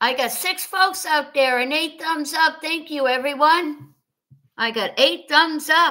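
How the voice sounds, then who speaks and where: A woman's raised, projected voice with an American accent, high in pitch, bright and sharp in tone, with ordinary pitch variation, at a fairly slow pace over a quiet background. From US Midwest, Wisconsin (Fond du Lac); Wisconsin. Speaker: livestream host. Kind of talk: casual chat. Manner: repetitive. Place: home room. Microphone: webcam.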